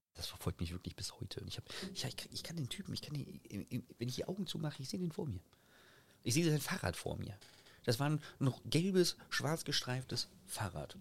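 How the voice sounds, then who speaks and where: At a moderate pace, a man speaks in a somewhat breathy, fairly high voice, leaving long, frequent pauses. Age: 30s. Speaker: TikToker and streamer. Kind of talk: casual chat.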